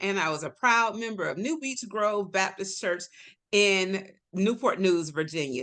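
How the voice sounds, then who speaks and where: With a Southern accent, this woman talks at a moderate pace in a bright, sharp tone, her medium pitch moving with lively intonation. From Florida, Tampa. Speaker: health advocate. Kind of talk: casual chat.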